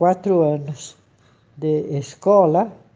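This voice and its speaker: A woman's dark, mellow voice at a very slow pace, with ordinary pitch variation. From Brazil, São Paulo. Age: 80s+. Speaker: historian and anthropologist. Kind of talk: interview. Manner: halting.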